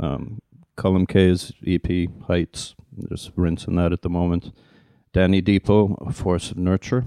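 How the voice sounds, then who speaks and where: Here is a man with a Dublin accent and a very deep, low pitch in a dark, mellow tone. He talks at a fairly slow pace with fairly even intonation. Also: dry, close sound with no echo. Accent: Dublin Irish. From Dublin, Ireland. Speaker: DJ. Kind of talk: casual chat.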